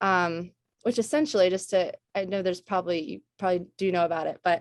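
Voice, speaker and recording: Against a quiet background, a woman speaks at a medium pitch with ordinary pitch variation. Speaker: fabric and product developer. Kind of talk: guest lecture to students. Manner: halting, many fillers.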